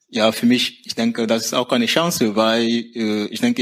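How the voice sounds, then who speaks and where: Noticeable background noise sits under this recording. A man speaks at a medium pitch and moderate pace, his intonation fairly even. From Cameroon. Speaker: university dropout, now in vocational training. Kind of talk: interview. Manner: halting.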